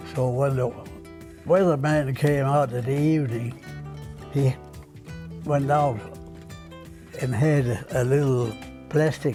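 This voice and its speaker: Music plays in the background. The speaker goes at a very slow pace with long, frequent pauses and ordinary pitch variation. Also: man, medium pitch for a man. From Denmark. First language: Danish. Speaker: retired television station artist. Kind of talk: oral history interview answer.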